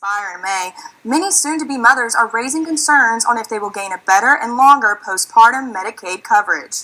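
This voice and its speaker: With an American accent, a woman with an unremarkable speaking voice talks at a fairly quick pace, her fairly high pitch carried by lively intonation. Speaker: student broadcast journalist, news anchor. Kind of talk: TV news anchor reading.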